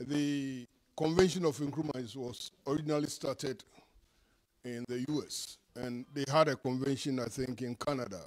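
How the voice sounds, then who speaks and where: A man's fairly high pitch with ordinary pitch variation. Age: 60s. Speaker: community organizer. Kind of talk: public speech. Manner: impassioned.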